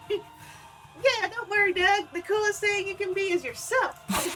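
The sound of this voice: Clear music plays in the background. Someone uses a put-on character voice at an extremely high pitch and a fairly slow pace.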